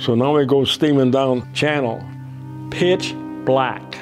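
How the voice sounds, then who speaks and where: Music plays in the background as a man talks at a medium pitch with ordinary pitch variation. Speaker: retired fire captain. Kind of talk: interview answer. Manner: charismatic storyteller.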